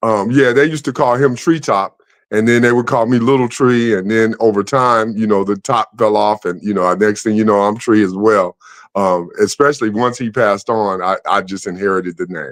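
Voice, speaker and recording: An unremarkable speaking voice in an American accent, with ordinary pitch variation, a moderate pace and a quiet background. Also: man, medium pitch for a man. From Chicago, Englewood. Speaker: former basketball player and playwright. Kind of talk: interview.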